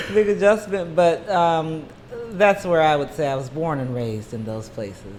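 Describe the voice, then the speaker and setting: A woman with an American accent speaks at a moderate pace and a very deep, low pitch, with very wide pitch swings and big swings in loudness, amid audible room echo and noticeable background noise. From US Mid-Atlantic (Maryland, from age 13). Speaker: nurse and singer. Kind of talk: casual interview.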